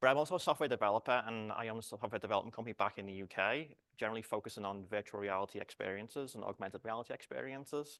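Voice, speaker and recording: Speaking with a British accent at a very fast pace with hardly any pauses, a man at medium pitch shows ordinary pitch variation in a very clean recording with a silent background and a dry, close sound with no echo. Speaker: research computing director and software developer. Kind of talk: conference talk. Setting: conference room, lapel mic. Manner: halting, frequent repetitions and false starts.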